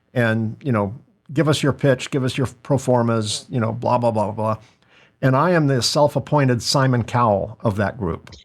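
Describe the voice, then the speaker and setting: On a very clean recording with a silent background, a man with an unremarkable speaking voice talks at medium pitch and moderate speed, his pitch varying in an ordinary way. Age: 60s. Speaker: podcast host and business owner. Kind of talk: casual interview chat.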